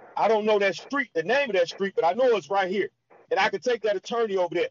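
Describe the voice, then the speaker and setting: With an American accent, a man speaks at a high pitch with lively intonation. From Detroit, Michigan. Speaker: community organizer, formerly incarcerated. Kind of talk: interview.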